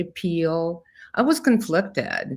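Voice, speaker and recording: Speaking with a Russian accent, a woman uses a fairly low pitch and a very slow pace. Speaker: therapist and brain researcher. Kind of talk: interview.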